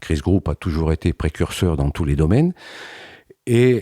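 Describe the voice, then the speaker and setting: A man's dark, mellow voice moves with lively intonation. The sound is dry and close with no echo, on a very clean recording with a silent background. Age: 70s. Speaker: retired company president. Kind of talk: interview testimony. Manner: measured, with hesitations.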